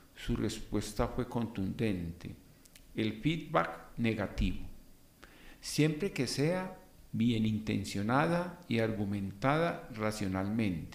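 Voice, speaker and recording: In a room with audible echo, a man talks at a very slow pace, his medium pitch moving in very wide swings. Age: 60s. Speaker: podcast host and civil engineer. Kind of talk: motivational monologue.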